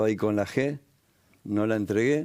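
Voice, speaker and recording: A man with a Rioplatense accent, a dark, mellow tone and a fairly slow pace. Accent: Argentine Rioplatense Spanish. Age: 60s. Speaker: war veteran and pastor. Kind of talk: testimony interview. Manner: animated storytelling.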